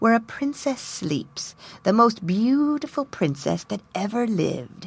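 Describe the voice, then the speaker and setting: Using a put-on character voice, a woman talks at a fairly slow pace. Her pitch swings very widely. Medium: read story.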